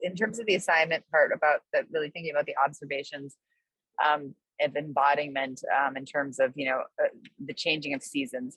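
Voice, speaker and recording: A woman's very deep, low voice at a fairly quick pace, ordinary in pitch variation, dry and close with no echo. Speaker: course participant. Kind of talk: q&a in online class. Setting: video call from a balcony. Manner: halting; loud.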